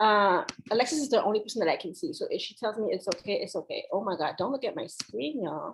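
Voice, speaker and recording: A woman's fairly high, somewhat breathy voice at a very fast pace, with very wide pitch swings. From Haitian family. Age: 30s. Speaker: speaker from a farm organization. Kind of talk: lecture.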